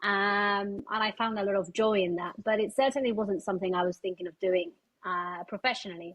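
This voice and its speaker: The speaker has a Spanish accent. The pace is fairly quick. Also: woman, medium pitch for a woman, ordinary pitch variation. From Spain. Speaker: charity fundraising director, former pianist. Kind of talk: podcast interview.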